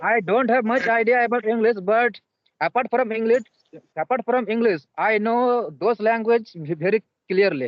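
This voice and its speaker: Very even loudness at a moderate pace. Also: man, high pitch for a man, ordinary pitch variation. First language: Santali. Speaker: English learner. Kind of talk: casual chat. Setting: video call; outdoors. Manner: halting.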